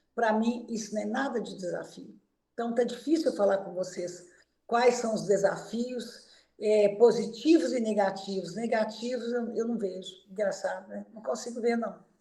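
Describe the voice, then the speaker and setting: Her voice has a dark, mellow tone and fairly high pitch as the woman speaks at a moderate pace. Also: big swings in loudness. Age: 70s. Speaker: physiotherapist. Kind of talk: interview.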